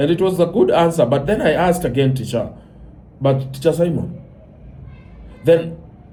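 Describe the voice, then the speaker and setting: A man speaks at a moderate pace in a dark, mellow tone. Audible room echo is present. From Kenya. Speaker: commentator. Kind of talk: monologue commentary. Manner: animated.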